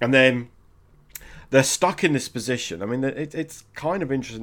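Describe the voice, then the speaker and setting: The recording is very clean, with a silent background. A man talks at a medium pitch. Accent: British. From Britain. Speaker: film podcast co-host. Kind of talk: casual chat.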